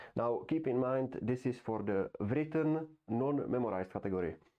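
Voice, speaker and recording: A man speaks at a moderate pace with a non-native accent. His pitch varies in an ordinary way. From Europe. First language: not English. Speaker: YouTuber. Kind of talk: casual monologue. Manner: halting.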